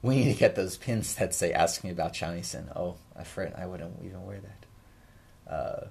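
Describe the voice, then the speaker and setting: A man mumbles at a moderate pace with hardly any pauses. His loudness swings widely. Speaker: shamisen teacher and livestream host. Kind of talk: casual livestream Q&A chat. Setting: YouTube livestream at home. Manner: mumbling; hesitant, many fillers. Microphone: new microphone.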